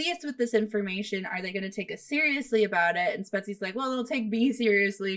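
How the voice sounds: It's a natural reading voice. The pitch varies in an ordinary way.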